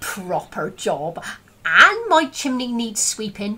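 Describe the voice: A put-on character voice at a fairly slow pace. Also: female-sounding voice, fairly high pitch for a woman.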